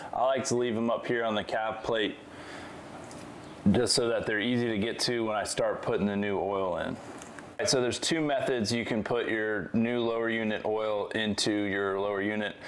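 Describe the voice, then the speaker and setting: At a moderate pace, a man speaks with very even loudness and fairly even intonation over light background noise. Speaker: presenter. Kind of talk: tutorial. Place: garage.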